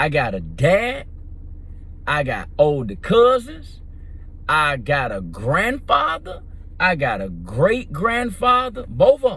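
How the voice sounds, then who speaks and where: Very slowly, a man speaks in a fairly high, bright and sharp voice with vocal fry and very wide pitch swings, and the room echo is audible. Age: 50s. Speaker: vlogger. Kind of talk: casual monologue.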